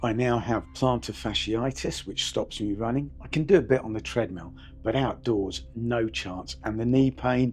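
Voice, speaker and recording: A man with a British accent talks at a medium pitch. He keeps a moderate pace with hardly any pauses. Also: ordinary pitch variation. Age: 60s. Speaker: fitness vlogger, retired paramedic. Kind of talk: personal vlog monologue.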